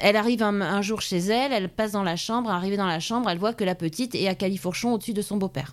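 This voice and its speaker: A woman rushes along at a very fast pace, her medium-pitched voice showing ordinary pitch variation. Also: hardly any pauses, very even loudness. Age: 40s. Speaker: police officer. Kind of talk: interview.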